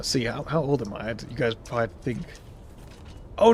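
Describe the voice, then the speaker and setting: This man talks with an American accent. His voice has vocal fry. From US Southwest, New Mexico. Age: 30s. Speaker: gaming streamer. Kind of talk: casual live-stream gameplay chat. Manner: casual, rambling with frequent fillers.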